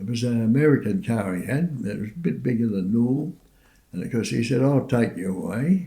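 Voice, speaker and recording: Speaking fairly quickly with an Australian accent, a man uses a medium pitch that swings very widely. His tone is dark and mellow, and somewhat breathy. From Sydney, Australia. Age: 80s+. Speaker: war veteran. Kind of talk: testimony. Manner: halting.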